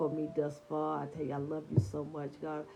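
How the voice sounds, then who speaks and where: Speaking at a moderate pace, a woman has a very deep, low pitch, a warm, dark, mellow tone, and vocal fry. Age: 60s. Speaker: online devotional host. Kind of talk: devotional talk. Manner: warm, conversational.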